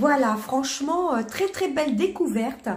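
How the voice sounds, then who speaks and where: Her pitch sits high and her intonation is lively. The woman speaks at a fairly slow pace. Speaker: beauty and perfume youtuber. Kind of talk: product review. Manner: halting, many hesitations.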